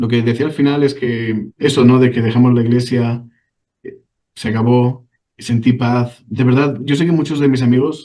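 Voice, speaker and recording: A man with a Spanish accent speaks at a moderate pace in a medium pitch. His intonation is monotone and flat, and his tone is dark and mellow. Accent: Spanish (Spain). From Spain. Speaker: ex-church member telling his story. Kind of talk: interview testimony. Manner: halting, with many repetitions.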